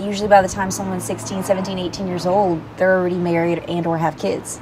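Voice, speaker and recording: Over noticeable background noise, a woman with a medium-pitched voice talks very fast in a flat monotone. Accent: Southern. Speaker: interview guest. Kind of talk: casual chat.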